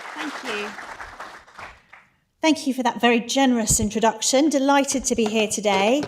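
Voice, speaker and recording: A high-pitched woman speaks in a British accent with ordinary pitch variation and long, frequent pauses. Crowd noise carries in the background. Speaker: conference speaker. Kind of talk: conference talk. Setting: stage with audience. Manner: fast; animated.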